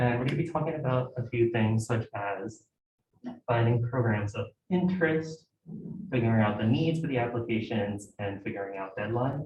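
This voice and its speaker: A man speaks in a medium pitch with ordinary pitch variation. His voice is somewhat breathy. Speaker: graduate student presenter. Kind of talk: informal presentation. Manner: fast.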